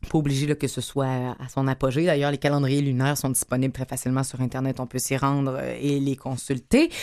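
A woman with a Quebec accent. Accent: Québécois French. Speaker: radio host. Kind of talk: radio magazine show.

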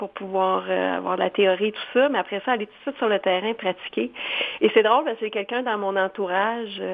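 A woman talks over noticeable background noise. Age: 40s. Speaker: foundation director, former TV news anchor. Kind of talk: interview. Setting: phone call. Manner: animated.

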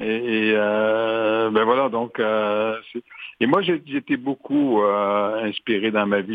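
A man speaks at medium pitch. His intonation is fairly even. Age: 70s. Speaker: retired media executive turned entrepreneur and author. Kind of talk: interview.

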